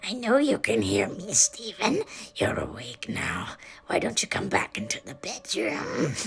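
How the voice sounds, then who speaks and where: A gravelly, raspy put-on character voice delivered at a moderate pace. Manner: menacing, coaxing.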